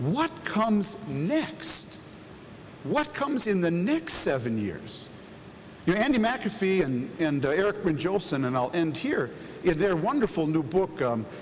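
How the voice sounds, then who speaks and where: This man has a high pitch and very wide pitch swings, speaking at a fairly slow pace. Noticeable background noise and audible room echo surround him. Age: 60s. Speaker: keynote moderator. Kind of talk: on-stage panel moderation. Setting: stage with audience.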